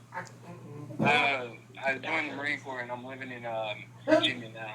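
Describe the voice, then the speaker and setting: A man with an American accent speaks at a fairly slow pace, his medium pitch held in fairly even intonation. The loudness swings widely, with audible room echo and noticeable background noise. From New York, Long Island. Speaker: caller, Marine. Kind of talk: casual chat.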